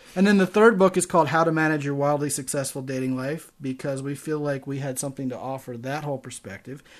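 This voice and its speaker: A man with an American accent talks at a very fast pace with hardly any pauses, his pitch fairly high with ordinary variation. His loudness swings widely against a quiet background. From Maryland, Baltimore. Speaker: dating podcast host. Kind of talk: casual chat.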